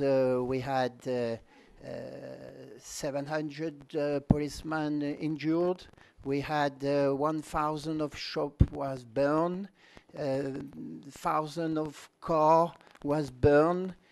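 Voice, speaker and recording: Speaking very slowly in a French accent, a man with a fairly high pitch keeps his intonation fairly even and pauses long and often. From France. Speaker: party leader. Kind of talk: conference speech. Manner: halting.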